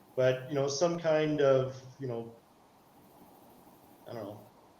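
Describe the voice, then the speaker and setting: A man with a Canadian accent speaks at a moderate pace in a fairly high pitch with ordinary pitch variation, amid noticeable background noise and audible room echo. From Canada. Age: 60s. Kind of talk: casual chat. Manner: halting.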